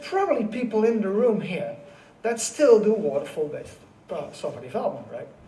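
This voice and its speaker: This man has a Dutch accent, a high pitch and lively intonation. Audible room echo and noticeable background noise surround his voice. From Netherlands. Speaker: conference keynote speaker. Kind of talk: keynote talk. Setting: stage with audience. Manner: fast; high-speed.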